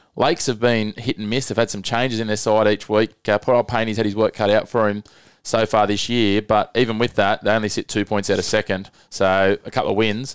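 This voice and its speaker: Over a very clean, silent background, a man talks at a fairly quick pace in an Australian accent. His fairly low, monotone, flat voice sounds dry and close, with no echo. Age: 30s. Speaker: podcast host, local rugby league. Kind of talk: casual sports chat.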